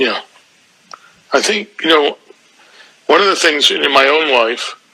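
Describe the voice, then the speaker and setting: Over noticeable background noise, a man speaks at a fairly slow pace. His pitch is fairly high, with ordinary variation. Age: 70s. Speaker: spiritual teacher. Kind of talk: spiritual mentoring conversation. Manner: halting, many fillers and repetitions.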